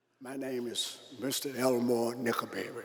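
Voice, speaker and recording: Spoken at a fairly slow pace with fairly even intonation, the voice carries audible room echo and noticeable background noise. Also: man. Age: 80s+. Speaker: sanitation worker, civil rights veteran. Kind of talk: short speech. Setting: stage with audience.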